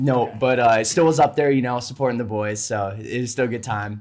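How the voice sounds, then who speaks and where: With an American accent, a man speaks fairly quickly at a medium pitch, his pitch varying in an ordinary way. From Minnesota, grew up on a farm. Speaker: podcast guest, aerospace PhD student. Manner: casual, many filler words.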